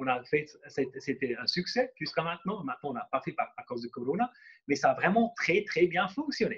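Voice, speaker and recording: Speaking at a moderate pace, a man uses lively intonation and a high pitch. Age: 40s. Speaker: entrepreneur and speaker. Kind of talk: workshop presentation. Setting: conference room with live and online audience. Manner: halting, many fillers and repetitions.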